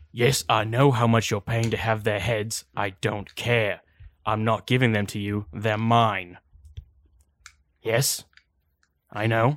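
Putting on a raspy character voice at a medium pitch, a man talks at a fairly slow pace with long, frequent pauses. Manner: defiant, gruff.

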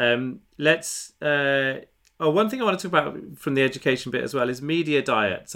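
In a normal speaking voice, the speaker uses lively intonation on a very clean recording with a silent background. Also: man. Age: 40s. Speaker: podcast host and author. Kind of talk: casual interview.

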